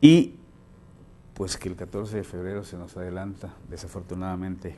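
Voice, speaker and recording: A man with a very deep, low voice speaks in a dark, mellow tone and a flat monotone, with light background noise. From Chiapas, Mexico (rural, near Cintalapa). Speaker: news anchor and columnist. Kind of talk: news broadcast with casual banter. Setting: studio. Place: studio. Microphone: lapel.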